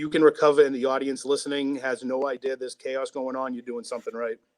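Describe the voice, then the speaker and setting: A man with a fairly high pitch and a Boston accent. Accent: thick Boston. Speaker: sports radio producer. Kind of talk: casual chat.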